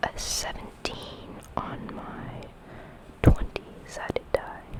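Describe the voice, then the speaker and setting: Very slow whispering with noticeable background noise behind it. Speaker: ASMR creator playing a doctor. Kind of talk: ASMR hospital role play, soft-spoken whisper. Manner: casual, soft-spoken, counting dice results.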